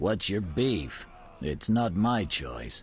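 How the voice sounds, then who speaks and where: A man puts on a character voice with a very deep, low pitch, and background noise is clearly audible. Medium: video game.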